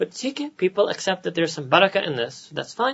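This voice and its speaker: Someone with an American accent speaks at a very fast pace. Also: man. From US, New York City. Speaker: Islamic scholar. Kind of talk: lecture.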